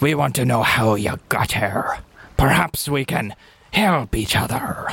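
A man puts on a playful character voice that is raspy and medium in pitch. He talks at a fairly slow pace. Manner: playful, gruff.

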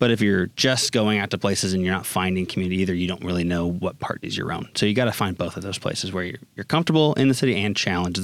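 A man with an American accent talks at a very fast pace, his very deep, low voice showing ordinary pitch variation. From Austin, Texas. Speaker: collegiate engagement manager. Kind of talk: casual interview chat.

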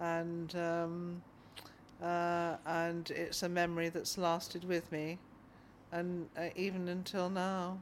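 Fairly low female voice at a very slow pace with monotone, flat intonation. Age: 60s. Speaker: hospital patient. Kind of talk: recorded interview.

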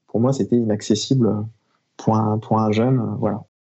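This man uses a plain, everyday voice, keeping a medium pitch, a moderate pace and fairly even intonation. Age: 30s. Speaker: airline-style professional pilot and mountain flyer. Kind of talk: casual interview.

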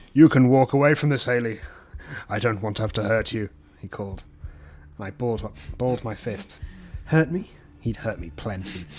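A man with an English accent and medium pitch, at a moderate pace with ordinary pitch variation and long, frequent pauses. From England. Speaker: podcast guest reader. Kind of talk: reading aloud.

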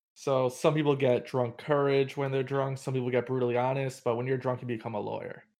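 A man's very fast delivery at a medium pitch, monotone and flat, with hardly any pauses. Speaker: podcast host. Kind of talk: casual interview.

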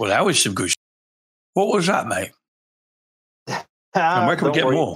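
Putting on a raspy character voice, a man pitches high with very wide pitch swings, keeping a moderate pace broken by long, frequent pauses. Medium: actual play. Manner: jokey, swaggering, coarse.

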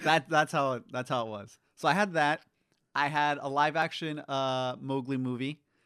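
There's a bright, sharp tone to this man's fairly high voice. He keeps a moderate pace and fairly even intonation against a quiet background. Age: 20s. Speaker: podcast co-host. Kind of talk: casual chat.

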